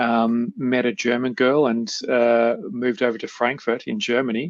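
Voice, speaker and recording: A man of medium pitch speaks with an Australian accent. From Melbourne, Australia. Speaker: project management consultant. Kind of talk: interview. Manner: halting, many fillers.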